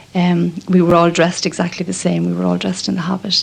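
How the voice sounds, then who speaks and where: Over noticeable background noise, a woman with an Irish accent talks at a very fast pace in a fairly low, monotone, flat voice. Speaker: nun. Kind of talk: radio documentary interview. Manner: hesitant, many fillers.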